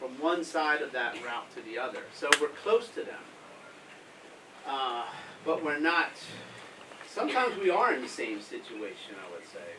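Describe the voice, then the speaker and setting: Someone with an American accent speaks at a moderate pace with very wide pitch swings, big swings in loudness and long, frequent pauses, amid audible room echo and noticeable background noise. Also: man, fairly high pitch for a man. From US Northeast, Philadelphia. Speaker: humanitarian aid worker. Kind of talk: talk to school pupils with Q&A. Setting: school assembly with audience.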